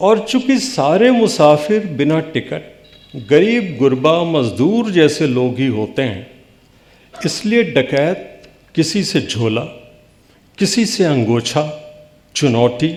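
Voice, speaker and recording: This man has a fairly high pitch. His voice moves in very wide pitch swings. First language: Bhojpuri (speaking Hindi). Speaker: poet. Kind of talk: poetry reading.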